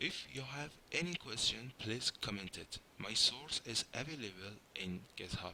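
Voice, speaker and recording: A man with a non-native accent talks at a fairly slow pace. His medium-pitched voice has lively intonation. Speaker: software engineer, programming tutor. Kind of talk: tutorial.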